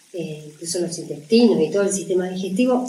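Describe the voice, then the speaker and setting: At a moderate pace, a woman speaks at medium pitch with ordinary pitch variation, with audible room echo and noticeable background noise. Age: 60s. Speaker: natural cooking teacher and author. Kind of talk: interview about her book.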